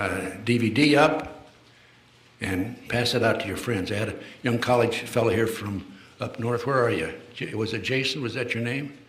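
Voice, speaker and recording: A man speaks at a medium pitch and moderate pace, with ordinary pitch variation. There is noticeable background noise and audible room echo. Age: 80s+. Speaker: retired FBI official and conspiracy lecturer. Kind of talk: public lecture. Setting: stage with live audience. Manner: hesitant, many fillers and restarts.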